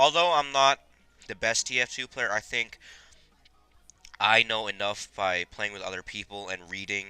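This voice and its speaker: A man talks at a moderate pace with long, frequent pauses. His tone is bright and sharp, and his loudness swings widely. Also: dry, close sound with no echo. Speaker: gaming video creator. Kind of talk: gameplay commentary. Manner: chewing gum while talking.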